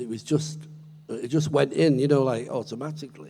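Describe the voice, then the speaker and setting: Lively intonation runs through this man's speech with an English accent. His tone is dark and mellow. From Britain. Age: 70s. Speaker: blues guitarist. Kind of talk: interview on stage. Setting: stage with audience.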